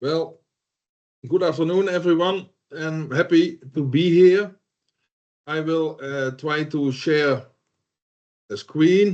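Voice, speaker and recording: With a Dutch accent, a man talks at a very slow pace in a fairly high pitch. His pitch varies in an ordinary way. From southern Netherlands. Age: 60s. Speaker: solar energy instructor. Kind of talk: online lecture. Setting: video call.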